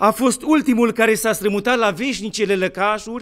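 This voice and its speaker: A man's high-pitched voice at a fairly slow pace against a quiet background. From Romania. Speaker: Orthodox bishop; bishop preaching. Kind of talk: sermon. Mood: solemn, warm, expressive. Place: church.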